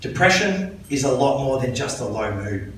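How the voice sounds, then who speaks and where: A man with a fairly high pitch is speaking. Noticeable background noise and audible room echo surround him. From Australia, New South Wales (Sydney, Scone). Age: 40s. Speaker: mental health volunteer speaker. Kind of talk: public talk.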